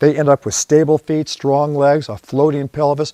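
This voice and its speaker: A man talks at a moderate pace in a plain, everyday voice, pitched fairly high. The background is quiet, and the sound is dry and close with no echo. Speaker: posture system founder. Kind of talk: infomercial interview answer.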